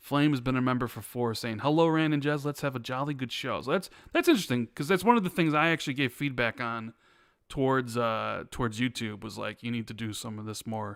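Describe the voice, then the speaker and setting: With an American accent and a plain, everyday voice, a man speaks at a fairly quick pace, medium pitch and ordinary pitch variation. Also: very clean recording, silent background. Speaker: podcast host. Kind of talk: casual chat. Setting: live stream.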